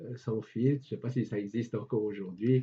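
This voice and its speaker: A man speaks at medium pitch, somewhat breathy. His intonation stays fairly even. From Switzerland, Geneva. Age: 80s+. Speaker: retired civil servant and local historian. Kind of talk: interview, reminiscing. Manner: hesitant, repeats words.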